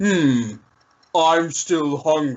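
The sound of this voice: A put-on character voice from a man, pitched fairly high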